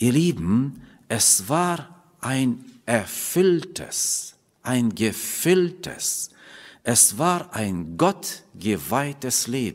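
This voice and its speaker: This man speaks at a very slow pace, his pitch swinging very widely. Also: medium pitch for a man. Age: middle-aged. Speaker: preacher. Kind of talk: sermon. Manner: halting. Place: church. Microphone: podium.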